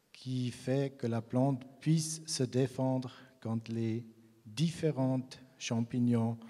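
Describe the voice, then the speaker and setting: A man's medium-pitched voice, dark and mellow in tone, at a very slow pace with fairly even intonation. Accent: Swiss German. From Switzerland, German-speaking region. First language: Swiss German (speaking French). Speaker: grape breeder. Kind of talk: conference talk. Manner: halting, many hesitations.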